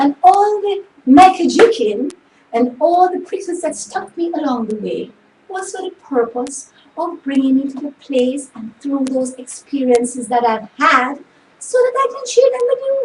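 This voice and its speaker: Over noticeable background noise, a high-pitched woman speaks fairly slowly, her pitch swinging very widely and her loudness rising and falling sharply. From Jamaica. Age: 60s. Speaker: motivational show host. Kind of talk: motivational talk. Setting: home studio.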